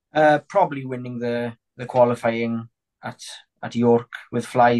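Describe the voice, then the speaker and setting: The man's medium-pitched voice is captured with a dry, close sound and no echo. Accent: Welsh. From Wales, north Pembrokeshire. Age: 20s. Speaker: sheepdog trial handler and sheep farmer's son. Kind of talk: casual interview chat. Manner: halting, with repetitions and fillers.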